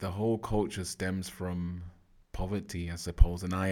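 A moderate speed of delivery, the recording very clean and the background silent. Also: man. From England, Manchester. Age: 40s. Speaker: hip hop artist and youth workshop facilitator. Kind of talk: casual interview. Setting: studio.

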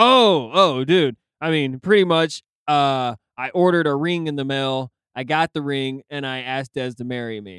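Using a normal speaking voice, a man keeps a moderate pace and ordinary pitch variation. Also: fairly high pitch for a man. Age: 30s. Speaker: podcast co-host. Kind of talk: casual chat.

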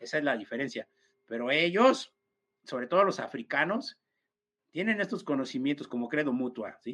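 A man with a Mexican accent speaks at a moderate pace in a fairly high pitch, his tone bright and sharp and his intonation lively. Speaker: esoteric speaker. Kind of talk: casual chat.

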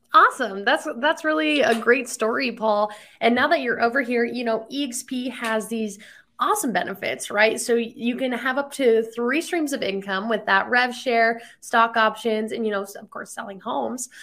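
A woman's fairly high voice with a bright, sharp tone, ordinary pitch variation and a moderate pace. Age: 20s. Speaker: podcast host. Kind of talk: interview.

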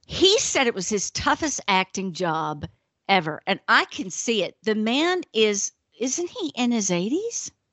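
In a Southern US accent, a woman speaks at a fairly slow pace with a fairly high pitch, very wide pitch swings and an animated tone. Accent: acquired Southern drawl. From northern US. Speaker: podcast co-host. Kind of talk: casual chat.

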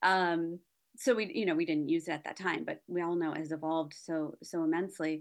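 A woman with a plain, everyday voice, a fairly low pitch and fairly even intonation talks at a fairly quick pace against a quiet background. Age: 40s. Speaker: wedding planner and designer. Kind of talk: interview.

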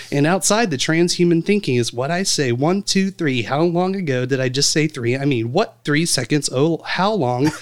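The delivery keeps a moderate pace. It is a normal speaking voice, with ordinary variation in pitch. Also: man. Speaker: podcast host. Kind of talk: casual chat.

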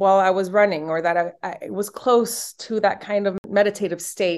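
A woman speaks with a Spanish accent. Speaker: yoga and meditation instructor. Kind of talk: casual interview.

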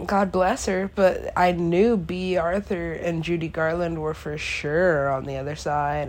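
Fairly slow delivery with hardly any pauses, plus audible room echo. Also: woman. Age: 20s. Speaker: solo podcaster. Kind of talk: casual monologue. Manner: animated.

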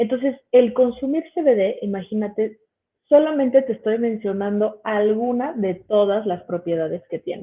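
A woman uses an ordinary speaking voice, fairly high in pitch, talking fairly slowly with ordinary pitch variation. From Mexico City. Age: 30s. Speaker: biochemist and cannabis educator. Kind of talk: educational livestream presentation. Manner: casual, filler-heavy.

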